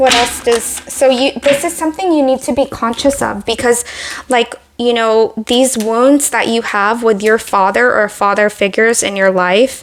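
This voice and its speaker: Noticeable background noise sits behind the recording. A woman talks at a moderate pace with ordinary pitch variation. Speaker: tarot reader. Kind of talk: tarot reading. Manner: hesitant, filler-heavy.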